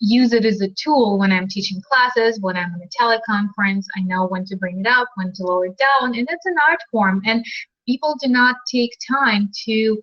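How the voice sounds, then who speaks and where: A woman with a Russian accent speaks at a moderate pace with hardly any pauses, her pitch fairly high. Her pitch variation is ordinary, while her loudness swings widely. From Ukraine (Crimea). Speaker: dating and relationship coach, author. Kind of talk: live video chat interview. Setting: live video stream. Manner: animated.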